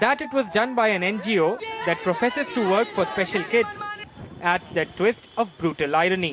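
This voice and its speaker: A moderate pace, hardly any pauses and noticeable background noise. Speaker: TV news reporter. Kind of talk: scripted TV news report with a stern, disapproving tone. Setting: voiceover for a TV news package. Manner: formal, measured, emphatic delivery.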